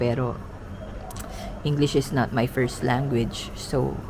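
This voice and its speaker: A woman speaks quietly at a moderate pace with a very deep, low pitch. Noticeable background noise and audible room echo are present. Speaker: travel vlogger. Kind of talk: vlog monologue. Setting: indoors, early morning. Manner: halting.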